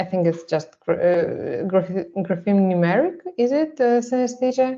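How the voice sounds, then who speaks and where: A woman with a dark, mellow tone talks at a fairly slow pace, her pitch varying in an ordinary way. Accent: Russian. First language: Russian. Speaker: artist presenting a photo project. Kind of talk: seminar presentation. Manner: halting, many fillers.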